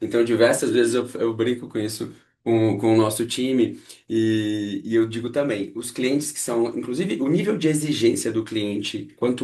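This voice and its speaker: A man speaks at medium pitch and a moderate pace, his tone dark and mellow. The background is quiet. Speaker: architect and podcast host. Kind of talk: casual chat. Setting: video call. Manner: animated.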